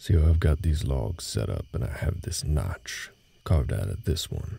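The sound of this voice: Using a put-on character voice, a man speaks fairly slowly at an extremely low pitch, with a dark, mellow tone, a slightly husky edge, vocal fry and lively intonation.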